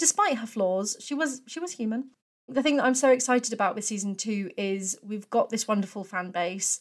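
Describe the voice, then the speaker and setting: A woman with a British accent talks at a moderate pace and a fairly high pitch. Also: ordinary pitch variation. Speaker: PhD student. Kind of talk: testimony.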